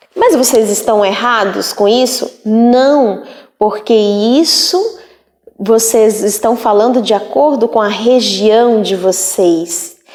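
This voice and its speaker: Very slowly and with ordinary pitch variation, a woman with a fairly high voice speaks in a space with audible room echo. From Northeast Brazil. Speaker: teacher. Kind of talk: lecture. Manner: casual.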